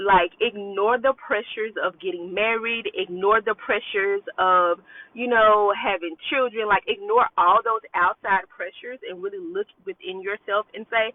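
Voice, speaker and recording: A woman with a plain, everyday voice speaks at a fairly high pitch and a moderate pace, with ordinary pitch variation, big swings in loudness and hardly any pauses. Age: 30s. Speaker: self-love coach. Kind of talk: casual vlog monologue. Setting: in a car. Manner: conversational with fillers.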